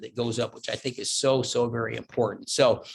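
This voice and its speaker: The man's tone is animated. His voice is somewhat breathy. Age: 70s. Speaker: keynote speaker. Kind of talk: keynote speech. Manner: fast.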